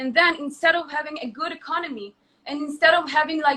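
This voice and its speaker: A woman's high-pitched, raised and projected voice with an Israeli accent and ordinary pitch variation. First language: Hebrew. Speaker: influencer. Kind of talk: heated debate. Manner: halting.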